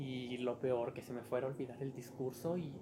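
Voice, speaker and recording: A somewhat breathy male voice. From Mexico, Durango. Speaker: podcast host. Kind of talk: personal storytelling monologue.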